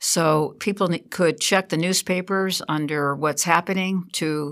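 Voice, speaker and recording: In a normal speaking voice with an American accent, a woman talks at a fairly low pitch with fairly even intonation. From Connecticut, New England. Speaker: nature preserve naturalist. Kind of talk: radio interview.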